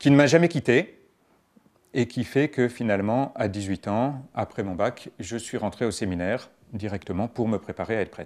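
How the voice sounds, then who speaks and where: This is a man with an unremarkable speaking voice, talking at a moderate pace. The recording is very clean, with a silent background. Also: medium pitch for a man, ordinary pitch variation. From France, Paris region (Garches). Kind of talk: interview testimony.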